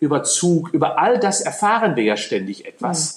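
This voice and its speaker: This man has a high-pitched voice and keeps a moderate pace. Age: 60s. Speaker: sports scientist. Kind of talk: interview. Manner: animated.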